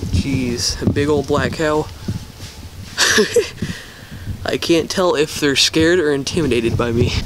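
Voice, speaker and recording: A man pauses long and often, with ordinary pitch variation, amid noticeable background noise. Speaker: vlogger filming exploration. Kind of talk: casual vlog chat. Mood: nervous, joking. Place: forest. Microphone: phone near.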